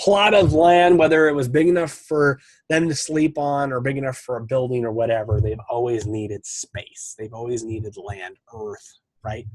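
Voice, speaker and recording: A man speaks in an American accent with a somewhat breathy voice, lively intonation and big swings in loudness. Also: medium pitch for a man, moderate pace. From Montana, US. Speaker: podcast host, real estate investor. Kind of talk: solo podcast monologue. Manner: casual, with fillers and restarts.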